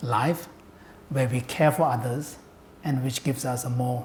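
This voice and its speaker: Amid noticeable background noise and audible room echo, a man speaks at a fairly slow pace with a medium pitch and fairly even intonation. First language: Tibetan. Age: 60s. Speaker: Buddhist scholar and translator. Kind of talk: public talk. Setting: lecture hall with audience.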